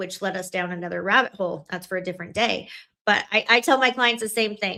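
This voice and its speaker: On a very clean recording with a silent background, a woman at medium pitch speaks at a very fast pace in an animated, bright and sharp tone with ordinary pitch variation. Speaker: family law attorney. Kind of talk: casual chat.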